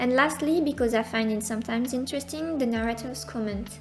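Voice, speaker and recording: Over music in the background, a woman with a non-native accent speaks in a high pitch. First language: not English. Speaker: manga lore content creator. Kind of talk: casual explainer narration. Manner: somewhat flat delivery.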